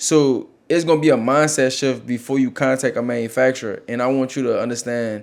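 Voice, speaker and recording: A man speaking in an American accent, his voice at a medium pitch with ordinary pitch variation, comes through on a very clean recording against a silent background. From US South, New Orleans. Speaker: clothing brand owner, podcast co-host. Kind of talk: casual business advice chat.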